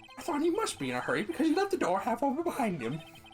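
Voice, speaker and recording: Over clear background noise, a man does a strained, put-on character voice at a very fast pace. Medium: game stream. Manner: nervous, flustered.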